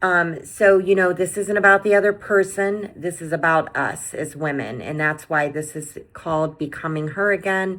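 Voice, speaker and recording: A woman with a plain, everyday voice and fairly low pitch speaks at a moderate pace, hardly pausing, with ordinary pitch variation. The recording is very clean, with a silent background. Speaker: self-help video host. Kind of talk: motivational talk to camera. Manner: many filler words.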